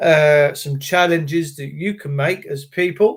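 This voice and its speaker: Speaking fairly slowly, a man talks in an English accent. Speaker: livestreamer / activist. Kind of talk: live stream chat with viewers. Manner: uneven pitch, voice going up and down.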